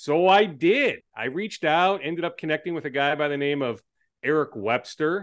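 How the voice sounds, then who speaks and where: A normal speaking voice from a man with a fairly high pitch, ordinary pitch variation and a moderate pace. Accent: American. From Minnesota, Twin Cities. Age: 40s. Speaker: sports reporter and TV anchor. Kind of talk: casual interview.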